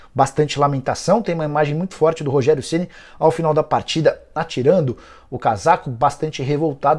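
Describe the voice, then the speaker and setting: Somewhat breathy, fairly quick speech from a man with a fairly high voice and fairly even intonation, against a quiet background. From Brazil. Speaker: football journalist. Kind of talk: sports news roundup. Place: studio. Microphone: lapel.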